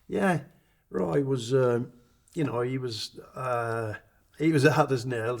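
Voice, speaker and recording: A somewhat breathy man comes through on a very clean recording with a silent background. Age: 60s. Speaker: retired rugby league player. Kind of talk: documentary interview reminiscence. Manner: halting, with many repetitions.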